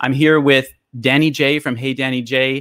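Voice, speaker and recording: The background is quiet as a man speaks. The sound is dry, with no echo. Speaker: live stream host. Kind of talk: live stream hosting chat. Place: home room. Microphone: studio mic.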